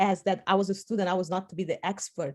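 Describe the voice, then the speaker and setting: A woman speaks with a Portuguese accent at a fairly quick pace. The background is quiet. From Portugal and Spain. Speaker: political science professor. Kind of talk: casual discussion in a workshop. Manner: halting.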